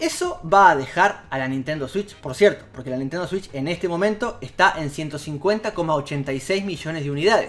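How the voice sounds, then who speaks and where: Music plays behind a man speaking at a fairly quick pace. His pitch variation is ordinary. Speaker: video game YouTuber. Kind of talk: casual video commentary. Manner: hesitant, with fillers and repeats.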